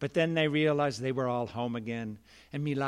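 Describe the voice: Plain reading aloud is what this recording holds.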